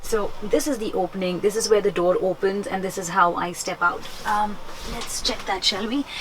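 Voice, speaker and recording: Over noticeable background noise, a woman speaks at a moderate pace. Her medium pitch has ordinary variation. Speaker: book vlogger. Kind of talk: vlog and book review. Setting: capsule hotel pod. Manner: whispering; hesitant, many fillers.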